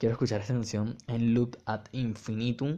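This man speaks with a Venezuelan accent. His voice is fairly low in pitch, with a dark, mellow tone. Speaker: podcast host, music reviewer. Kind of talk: casual solo commentary. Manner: animated.

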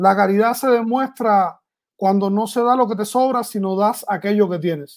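In a very clean recording with a silent background, the words unfold at a moderate pace. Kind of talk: casual chat.

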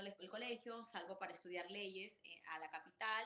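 Speaking in a Peruvian accent, a woman has a bright, sharp tone at a medium pitch. Her intonation stays fairly even. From Peru, Chimbote. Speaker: restaurant entrepreneur and author. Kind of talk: interview. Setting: video call.

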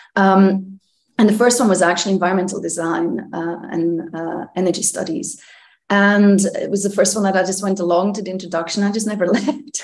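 The woman's pitch sits at medium, with ordinary variation. She talks at a fairly quick pace. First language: not English. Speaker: architecture professor. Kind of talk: interview.

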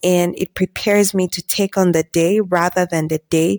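Against a silent background on a very clean recording, a woman speaks at a fairly slow pace and medium pitch with a dark, mellow tone, fairly even intonation and a dry, close sound with no echo. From Zambia. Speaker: faith and self-improvement podcast host. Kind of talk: solo podcast monologue.

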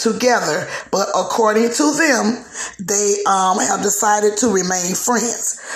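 There is audible room echo and noticeable background noise as a woman speaks fairly slowly in a fairly high voice. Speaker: podcast host. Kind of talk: casual gossip chat.

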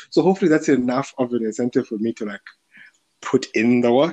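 A man's medium-pitched voice carries a dark, mellow tone in a dry, close sound with no echo. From South Africa, Limpopo (Polokwane). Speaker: podcast host and tech startup founder. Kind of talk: casual chat. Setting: video call. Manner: hesitant, lots of fillers.

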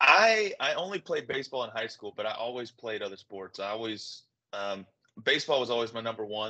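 With a Southern US accent, a man speaks fairly quickly at a medium pitch in a bright, sharp tone with ordinary pitch variation. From Arkansas, Little Rock. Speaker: former minor league baseball player. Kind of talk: interview. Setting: video call.

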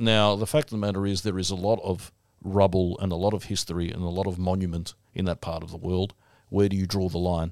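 A man with an Australian accent, very deep and low in pitch, at a very fast pace on a very clean recording with a silent background. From Melbourne, Australia. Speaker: podcast host. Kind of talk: casual chat with banter. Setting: studio.

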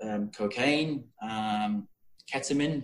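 A man speaks with a Yorkshire accent. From Yorkshire, England. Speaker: guest. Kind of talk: casual interview chat. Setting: video call.

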